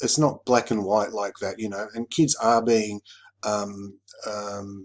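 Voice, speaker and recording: With an Australian accent, a man talks at a fairly slow pace and a medium pitch. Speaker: YouTuber, commentator. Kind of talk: casual monologue video. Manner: halting, many fillers.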